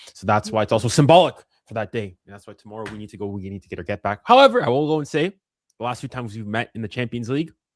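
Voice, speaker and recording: A man with a Canadian accent at a very fast pace, big swings in loudness, dry, close sound with no echo, and a very clean recording with a silent background. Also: medium pitch for a man, ordinary pitch variation. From Canada. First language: French. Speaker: football fan pundit. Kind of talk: casual chat.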